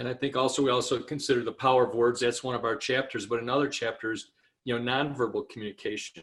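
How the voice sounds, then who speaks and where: A man at a medium pitch speaks at a very fast pace. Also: very clean recording, silent background. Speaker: marriage and family counselor. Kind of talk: interview. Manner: animated.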